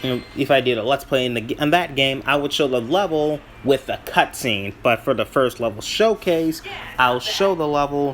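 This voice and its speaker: Noticeable background noise sits behind a man's fairly high voice. He talks at a moderate pace with ordinary pitch variation. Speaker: gaming YouTuber. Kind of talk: gameplay commentary. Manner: halting, self-correcting; casual, rambling.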